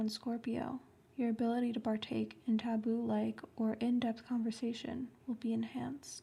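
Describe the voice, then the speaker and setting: The speaker is whispering and soft-spoken. There are hardly any pauses. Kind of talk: horoscope reading. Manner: soft-spoken, whispered.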